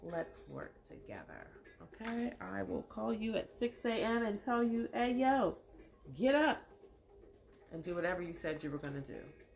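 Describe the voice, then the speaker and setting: Speaking at a moderate pace with long, frequent pauses, a woman delivers her words in an animated tone. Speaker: live show host and poet. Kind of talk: casual livestream monologue.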